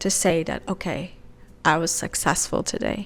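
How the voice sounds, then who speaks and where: In a non-native accent, a woman speaks at a medium pitch. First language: not English. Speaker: lifestyle vlogger. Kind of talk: casual vlog talk to camera.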